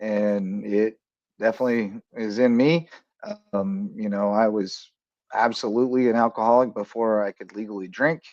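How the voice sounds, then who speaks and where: A man with an American accent talks in an unremarkable speaking voice at medium pitch. His pace is moderate and his intonation fairly even. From rural Kansas. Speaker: sports talk show host and coach. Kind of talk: casual sports talk show.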